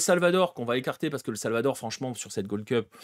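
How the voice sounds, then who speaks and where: A man talks in an animated tone, recorded very cleanly with a silent background and a dry, close sound with no echo. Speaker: football show host. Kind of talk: livestream football analysis. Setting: livestream. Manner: fast.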